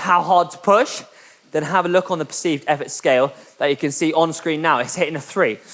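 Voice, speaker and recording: At a fairly quick pace, a man speaks in a high pitch. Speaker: indoor cycling instructor. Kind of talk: guided workout session. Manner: fast; animated, motivational.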